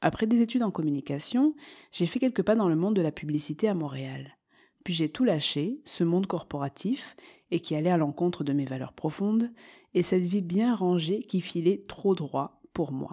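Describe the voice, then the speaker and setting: On a very clean recording with a silent background, a woman's dark, mellow voice carries a calm tone and lively intonation. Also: fairly low pitch for a woman, moderate pace. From southern France, Marseille. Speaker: podcast host, meditation teacher. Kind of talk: scripted monologue.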